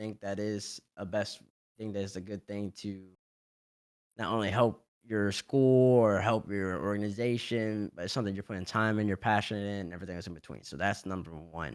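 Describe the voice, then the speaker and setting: At a fairly quick pace, a man with a slight Southern US accent speaks at a fairly low pitch with big swings in loudness, on a very clean recording with a silent background. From US South, Louisiana (Baton Rouge). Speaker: esports player and analyst. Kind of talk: interview. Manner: fast; animated.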